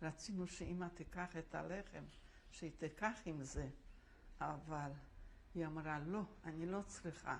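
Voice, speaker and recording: A woman speaks fairly slowly in a fairly low pitch with vocal fry, fairly even intonation, very even loudness, and long, frequent pauses. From Łódź, Poland. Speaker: Holocaust survivor. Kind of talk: oral history interview answer.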